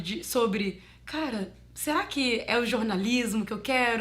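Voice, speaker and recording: Speaking fairly slowly, a woman varies her pitch in an ordinary way. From Minas Gerais, Brazil. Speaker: advertising voice-over artist and former radio journalist. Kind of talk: interview answer about her career. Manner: conversational, reflective.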